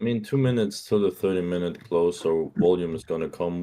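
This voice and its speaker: This man has a very deep, low pitch and a dark, mellow tone. He speaks with a non-native accent and fairly even intonation. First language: not English. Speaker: trader in live stream group. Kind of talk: casual trading chat. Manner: halting, many fillers and restarts.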